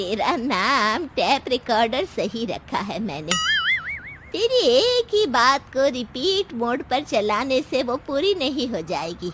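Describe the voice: Speaking slowly in a put-on character voice, a woman uses a high pitch and a fairly bright tone with big pitch swings. Faint music plays in the background.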